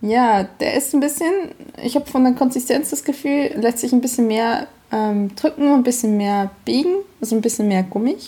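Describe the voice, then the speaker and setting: This woman's voice is high-pitched with a dark, mellow tone. She talks at a moderate pace with ordinary pitch variation. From Switzerland, Emmental (canton of Bern). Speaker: podcast host. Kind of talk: casual chat.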